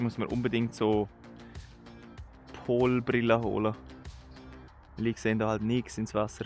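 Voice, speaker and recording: Backed by music, a man with a Swiss accent speaks at a medium pitch and a moderate pace, his intonation fairly even. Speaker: angler. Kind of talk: casual vlog talk to camera. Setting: outdoors.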